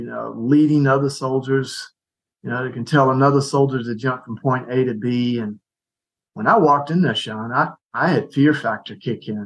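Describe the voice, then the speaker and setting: With ordinary pitch variation and a moderate pace, this is a plain, everyday voice. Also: man. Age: 60s. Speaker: ministry leader, retired soldier. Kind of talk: casual chat.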